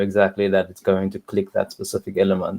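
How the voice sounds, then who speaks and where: Over a quiet background, a speaker with a South African accent talks at a moderate pace. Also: man. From South Africa, Cape Town. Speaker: software tester. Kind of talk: casual chat. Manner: halting. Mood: calm, thoughtful opinion. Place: home room. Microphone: video call.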